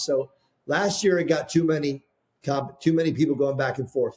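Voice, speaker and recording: A man with a fairly high pitch talks at a moderate pace, his voice somewhat breathy. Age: 60s. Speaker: founder of a painting products brand. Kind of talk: podcast interview. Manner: halting, many repeated words.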